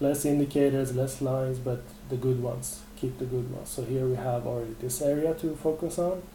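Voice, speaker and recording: A man talks at a moderate pace and medium pitch with fairly even intonation, with audible room echo and noticeable background noise. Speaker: trading webinar presenter. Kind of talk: live webinar tutorial. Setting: live webinar. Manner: hesitant fillers.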